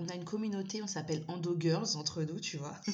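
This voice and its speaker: Somewhat breathy and fairly low-pitched, a woman speaks in an animated tone with audible room echo. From Malagasy heritage. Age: 30s. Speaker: endometriosis patient. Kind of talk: casual interview. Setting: remote recording.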